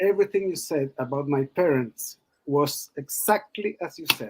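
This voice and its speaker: A man's fairly high voice with a non-native accent, ordinary pitch variation and a fairly slow pace, in a dry, close sound with no echo. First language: not English. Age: 50s. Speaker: caller. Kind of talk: feedback on reading. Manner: halting.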